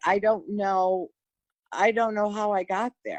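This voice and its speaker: The woman's voice sits fairly high and moves at a fairly slow pace. The sound is dry and close, with no echo. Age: 60s. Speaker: widow sharing grief recovery story. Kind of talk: testimony. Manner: halting, with many false starts.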